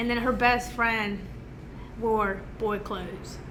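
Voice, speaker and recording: Amid noticeable background noise and audible room echo, a woman speaks at a fairly high pitch with monotone, flat intonation. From Mexico City, raised in Georgia, US South. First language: Spanish. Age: 30s. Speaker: business owner. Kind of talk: casual chat.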